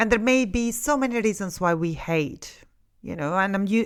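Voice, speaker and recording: Speaking in an Italian accent, a woman with a medium pitch and ordinary pitch variation keeps a moderate pace on a very clean recording with a silent background. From Italy. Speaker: counsellor and podcast host. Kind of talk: podcast monologue. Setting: studio. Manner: conversational, with many fillers.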